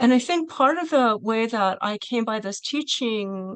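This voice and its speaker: A woman with a fairly high pitch is heard in a dry sound with no echo against a quiet background. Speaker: college math teacher. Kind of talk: Q&A discussion. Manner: fast. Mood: thoughtful, earnest. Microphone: video call.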